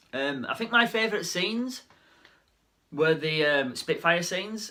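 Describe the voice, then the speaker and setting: Bright and sharp in tone, a man with a British accent speaks at a moderate pace with lively intonation. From Britain. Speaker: film reviewer. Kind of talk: casual movie review monologue. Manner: halting, many fillers and repetitions.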